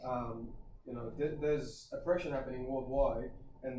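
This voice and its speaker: Against noticeable background noise and audible room echo, a man talks at a fairly quick pace. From Australia, western Sydney. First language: Kurdish. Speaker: personal trainer and gym owner. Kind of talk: podcast interview.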